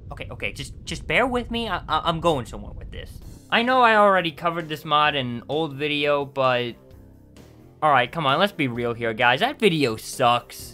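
Over music in the background, a man with a fairly high pitch speaks at a moderate pace, his pitch swinging very widely and his loudness shifting in big swings. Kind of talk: video game review narration. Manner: casual, humorous.

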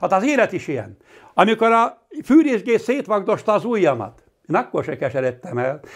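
Against a quiet background, a man talks at a moderate pace in a high voice with very wide pitch swings. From Hungary, Palóc region (Nógrád); Hungary. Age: 60s. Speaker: master carpenter. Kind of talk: personal testimony. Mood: earnest, reflective. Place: home room. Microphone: lapel.

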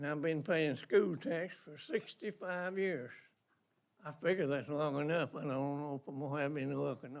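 A man's fairly high voice in a Georgia accent, at a moderate pace, with ordinary pitch variation and big swings in loudness. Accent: Southern US, rural Georgia. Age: 80s+. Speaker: local resident speaking at public comment. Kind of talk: public comment at county meeting.

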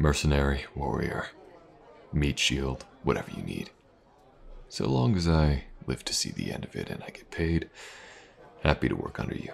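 In a put-on character voice, a man speaks at an extremely low pitch with vocal fry, big pitch swings, a moderate pace and long, frequent pauses.

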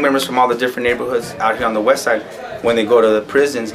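A man speaks in a fairly bright tone. Faint background noise can be heard.

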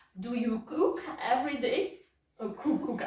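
In a room with audible echo, a woman talks very slowly at a high pitch, her voice swinging very widely up and down. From Russia. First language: Russian. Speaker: English teacher. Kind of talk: English lesson role-play interview with a child; lesson wrap-up, giving gifts. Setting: classroom. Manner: slow, simple, encouraging teacher talk. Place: classroom. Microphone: camera far.

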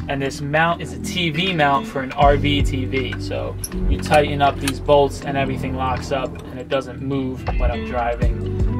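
A man talks at a moderate pace. Clear music plays in the background. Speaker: van life creator. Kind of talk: tutorial. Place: car.

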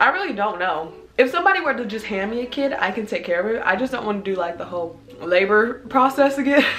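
A woman at a very fast pace, with very wide pitch swings and light background noise. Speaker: vlogger. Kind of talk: casual Q&A vlog chat. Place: home room. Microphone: camera far.

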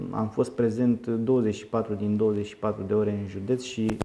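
A man's fairly low voice in monotone, flat intonation, with light background noise. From Romania, Teleorman county; Romania. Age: 30s. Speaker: politician. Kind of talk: interview. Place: meeting room. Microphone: handheld.

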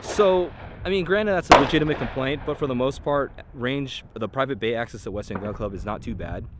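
Very fast male speech comes through in a dry sound without echo, with clear background noise underneath. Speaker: range reviewer. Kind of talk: casual vlog chat. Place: open country. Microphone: phone near.

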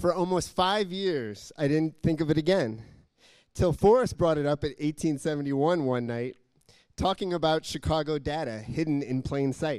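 Against a quiet background, a man with a fairly high voice sounds animated and playful, moving at a fairly slow pace with ordinary pitch variation. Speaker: poet and civic tech volunteer. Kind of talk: spoken-word poem, rhymed verse with a punchline rhythm, performed to an audience. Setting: stage with audience. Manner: animated, playful, comic timing with rhyme and laughter. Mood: humorous, smiling. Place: hall. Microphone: handheld.

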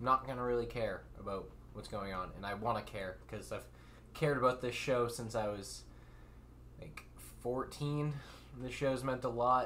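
A man speaks at a moderate pace with long, frequent pauses. Light background noise can be heard. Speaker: anime reaction streamer. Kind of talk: casual vlog chat. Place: home room. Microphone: studio mic.

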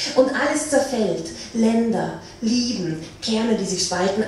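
The intonation is lively. Strong room echo and light background noise surround the voice. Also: woman. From Austria. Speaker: slam poet. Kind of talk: poetry slam performance. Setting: live stage. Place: hall. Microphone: pa.

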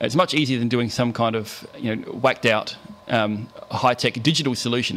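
Intonation remains fairly even. The delivery runs at a fairly quick pace. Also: man. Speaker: conference presenter. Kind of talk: lecture. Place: hall.

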